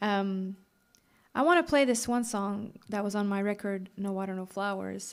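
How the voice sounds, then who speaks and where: Speech at a moderate pace with a slight Quebec accent comes through in a very clean recording with a silent background. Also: woman. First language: French. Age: 30s. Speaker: singer-songwriter. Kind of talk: stage banter between songs. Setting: live stage with audience. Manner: casual, chatty.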